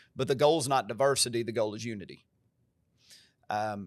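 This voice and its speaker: On a very clean recording with a silent background, a man with an American accent talks at a medium pitch with fairly even intonation. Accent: country twang. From US South, Covington (Tennessee). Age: 40s. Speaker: pastor. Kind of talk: podcast conversation. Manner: emphatic.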